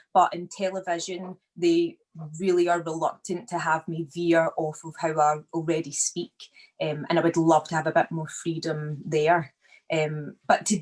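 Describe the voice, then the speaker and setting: The speaker has a Glaswegian accent and talks at a fairly slow pace with monotone, flat intonation. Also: woman. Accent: Glaswegian accent, educated. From Scotland, Glasgow. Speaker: actor. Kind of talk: interview conversation. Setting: video call.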